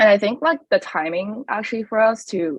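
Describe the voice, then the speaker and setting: A woman with a Chinese accent and very wide pitch swings. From China. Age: 20s. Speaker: college student. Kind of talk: podcast interview. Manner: casual with frequent fillers.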